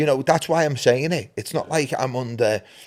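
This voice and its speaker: A man with a Liverpool accent at medium pitch and moderate pace, on a very clean recording with a silent background. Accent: Scouse (Liverpool). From Liverpool, England (Anfield). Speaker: podcast co-founder and host. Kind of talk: casual chat.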